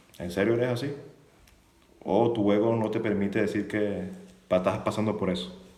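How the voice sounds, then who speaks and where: There is audible room echo around a man with a fairly low pitch. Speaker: YouTuber on the French Foreign Legion, former legionnaire. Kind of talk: live stream monologue. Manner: fast.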